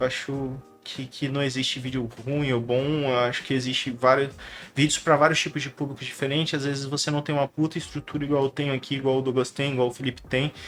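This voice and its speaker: Talking at a very fast pace, a man with a fairly high pitch keeps a monotone, flat intonation. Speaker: YouTuber and tech entrepreneur. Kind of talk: casual monologue to camera. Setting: home studio. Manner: mumbled at times, many filler words. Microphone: professional podcast microphone.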